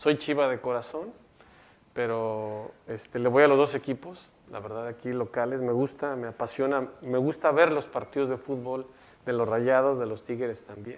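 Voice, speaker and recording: A man talks at a moderate pace and a medium pitch, with fairly even intonation. He has a normal speaking voice. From Mexico, Jalisco. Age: 50s. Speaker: electoral institute official. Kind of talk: interview.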